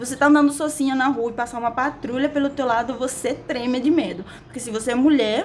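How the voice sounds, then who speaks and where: A woman speaks in a Cuban accent with an animated tone. Noticeable background noise is present. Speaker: vlogger. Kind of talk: casual vlog monologue. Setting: recording at a window.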